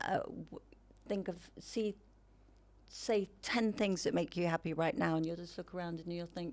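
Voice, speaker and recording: A woman talks at a moderate pace. Her pitch is fairly low, with ordinary variation. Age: 60s. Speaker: mature model and wellness advocate. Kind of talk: casual interview chat. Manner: animated.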